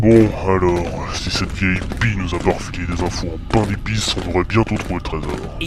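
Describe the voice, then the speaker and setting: Over loud background noise, a man does a put-on character voice pitched very deep and low. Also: moderate pace. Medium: machinima.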